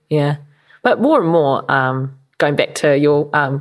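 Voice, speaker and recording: Her voice very deep and low, a woman with a New Zealand accent speaks at a fairly slow pace with fairly even intonation, recorded very cleanly with a silent background. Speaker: podcast co-host. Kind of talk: casual chat.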